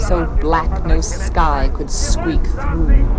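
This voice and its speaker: A woman's voice over music in the background. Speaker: poet. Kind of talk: poetry reading.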